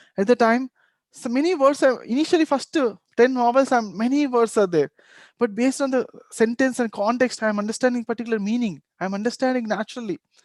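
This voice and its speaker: In a very clean recording with a silent background and a dry, close sound without echo, a man speaks very fast at an extremely high pitch. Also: ordinary pitch variation. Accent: Telugu. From India, Telugu-speaking region. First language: Telugu. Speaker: meditation teacher. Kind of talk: workshop talk. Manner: halting.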